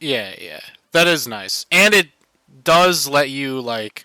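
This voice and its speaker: Music plays in the background as a man speaks at a fairly slow pace, the sound dry and close with no echo. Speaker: gaming streamer. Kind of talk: casual chat. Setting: video call. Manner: loud.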